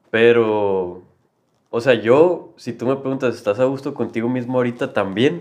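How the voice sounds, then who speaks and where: With a Mexican accent, a man talks at a moderate pace. His pitch variation is ordinary, and the background is quiet. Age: 20s. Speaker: university student. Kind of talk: casual chat.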